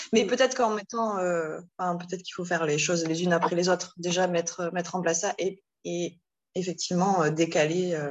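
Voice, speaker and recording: A woman's fairly low voice, fairly even in intonation, at a fairly quick pace. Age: 40s. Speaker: single mother seeking parenting advice. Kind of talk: casual chat. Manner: halting.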